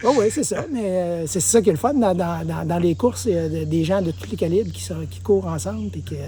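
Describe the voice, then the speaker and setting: A man's fairly low voice with a Quebec accent, very wide pitch swings and noticeable background noise. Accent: Québécois French. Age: 60s. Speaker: mountain bike trail builder and former racer. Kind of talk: casual chat.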